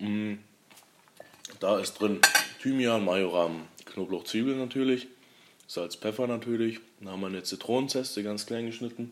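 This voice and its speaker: Fairly even intonation goes with a fairly slow pace. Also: man. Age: 20s. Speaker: young restaurant owner. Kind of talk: casual interview. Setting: in his restaurant, over a meal.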